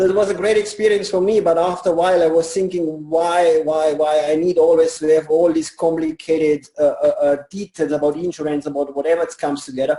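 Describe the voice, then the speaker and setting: A man with a German accent talks in a high voice with fairly even intonation. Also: fairly quick pace, hardly any pauses. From Germany. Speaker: network marketing leader. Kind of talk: interview.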